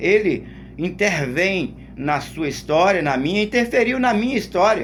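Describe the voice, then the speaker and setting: In audible room echo, a man talks at a fairly slow pace with very wide pitch swings. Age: 60s. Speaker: lay preacher. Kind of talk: sermon. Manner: halting, with repetitions.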